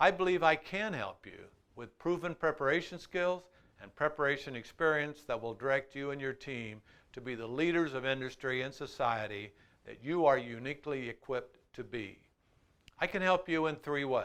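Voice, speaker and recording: In a normal speaking voice with an American accent, the speaker goes at a moderate pace with ordinary pitch variation and big swings in loudness against a quiet background. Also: man, fairly high pitch for a man. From Iowa, USA. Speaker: motivational speaker. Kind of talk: motivational promo talk to camera.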